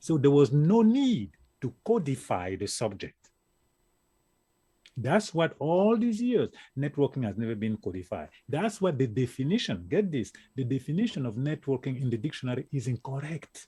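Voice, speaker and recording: A man with an African accent, fairly high-pitched, somewhat breathy and dark and mellow in tone, with very wide pitch swings at a moderate pace on a very clean recording with a silent background. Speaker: networking expert. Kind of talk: interview. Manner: animated.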